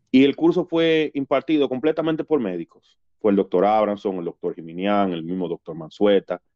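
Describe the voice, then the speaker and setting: A man talks at a moderate pace with hardly any pauses. His pitch swings very widely. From Dominican Republic, Nagua. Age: 40s. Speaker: Red Cross rescue volunteer. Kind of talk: casual interview storytelling. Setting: studio.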